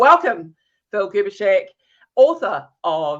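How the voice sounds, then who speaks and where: A woman with a New Zealand accent sounds enthusiastic and animated against a quiet background. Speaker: interview show host, LinkedIn specialist. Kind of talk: live interview. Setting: live video stream. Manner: enthusiastic, animated.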